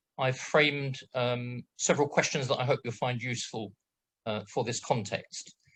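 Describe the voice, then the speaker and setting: With a British accent, this voice moves at a moderate pace. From Britain. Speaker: project management assessor. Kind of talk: webinar presentation. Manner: hesitant, many fillers; brisk pace.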